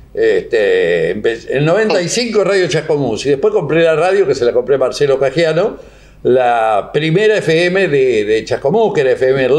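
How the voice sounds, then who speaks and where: With a Rioplatense accent, a man talks at a fairly slow pace, his loudness very even over noticeable background noise. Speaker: radio host. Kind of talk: casual interview. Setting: studio. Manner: animated.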